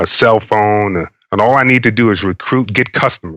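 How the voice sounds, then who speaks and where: Bright and sharp in tone, a man with an American accent speaks fairly quickly at a fairly low pitch with fairly even intonation. The sound is dry and close with no echo, over a quiet background. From New York. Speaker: army veteran, entrepreneur. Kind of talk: interview answer.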